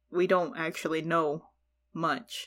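The tone is bright and sharp. A woman talks with an American accent. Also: very clean recording, silent background. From Texas. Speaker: podcast guest. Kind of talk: casual chat. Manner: giggly.

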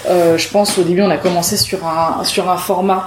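This is a woman talking. There is a somewhat breathy quality to her voice. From southern France, Perpignan. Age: 20s. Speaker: improv actress. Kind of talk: casual interview.

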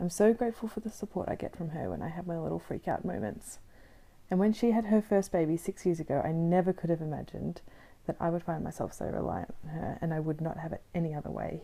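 A woman with an Australian accent speaks very fast in a fairly low, dark, mellow voice. Her pitch varies in an ordinary way. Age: 20s. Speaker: podcast host. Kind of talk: scripted narration.

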